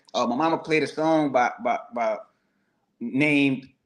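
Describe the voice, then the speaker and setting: A man speaks with a New Orleans accent. His intonation stays fairly even. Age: 40s. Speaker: guest. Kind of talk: testimony.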